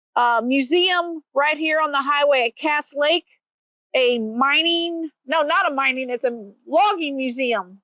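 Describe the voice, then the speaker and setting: Using a raised, projected voice, a woman with an American accent speaks at a very slow pace with long, frequent pauses, her high pitch carrying ordinary variation and a bright, sharp tone in a dry, close sound with no echo. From Missouri. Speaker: travel vlogger. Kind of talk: casual vlog narration. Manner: halting.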